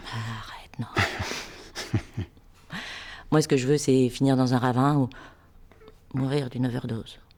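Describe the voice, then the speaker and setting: A woman's very deep, low voice in a playful tone, monotone and flat, at a very slow pace with long, frequent pauses. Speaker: actress. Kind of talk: acting demo reel scenes. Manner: playful, casual.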